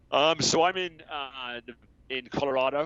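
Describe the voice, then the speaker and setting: With an American accent, a man talks at a fairly slow pace. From England, Somerset. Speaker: software business co-owner. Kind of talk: podcast interview.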